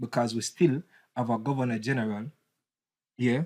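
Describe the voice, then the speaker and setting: A man with a Jamaican accent speaks fairly quickly at a medium pitch, in a very clean recording with a silent background and a dry, close sound with no echo. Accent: Jamaican English with patois. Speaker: political commentator. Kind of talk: casual debate. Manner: animated.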